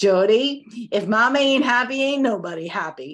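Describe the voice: A husky, female-sounding put-on character voice in a New York accent, fairly high in pitch, at a moderate pace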